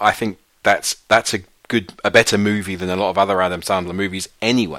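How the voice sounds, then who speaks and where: The voice has a bright, sharp tone, a moderate pace and ordinary pitch variation. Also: man. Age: 50s. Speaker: film podcast co-host. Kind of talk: casual chat.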